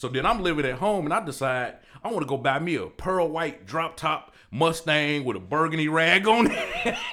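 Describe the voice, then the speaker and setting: Against noticeable background noise, a man with a fairly high pitch speaks at a moderate pace, with lively intonation and hardly any pauses. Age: 40s. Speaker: barber and entrepreneur. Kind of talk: interview conversation.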